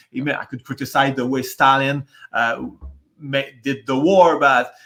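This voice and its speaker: His voice sits fairly high for a man. The pace is moderate, and the pitch moves in an ordinary way. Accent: Quebec. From Quebec. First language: French. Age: 40s. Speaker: aircraft maintenance worker, debate guest. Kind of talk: casual debate discussion. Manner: halting, many false starts and repetitions.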